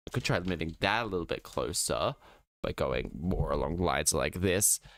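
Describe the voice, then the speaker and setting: At a fairly slow pace, a man mumbles his words. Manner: mumbling.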